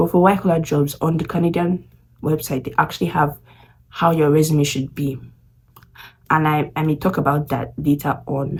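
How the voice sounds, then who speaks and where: Her voice is very deep, low and somewhat breathy. The woman keeps a moderate pace with long, frequent pauses. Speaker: international student vlogger. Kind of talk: casual vlog talk. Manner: halting.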